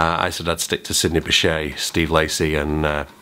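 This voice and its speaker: This man speaks with an English accent over noticeable background noise. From England. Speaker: saxophone teacher. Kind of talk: tutorial; casual vlog.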